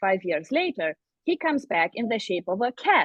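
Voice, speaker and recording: A woman with a non-native accent talks at a moderate pace, her pitch swinging very widely. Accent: foreign accent in English. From Eastern Europe. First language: Eastern European language. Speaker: fantasy author. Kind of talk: podcast interview.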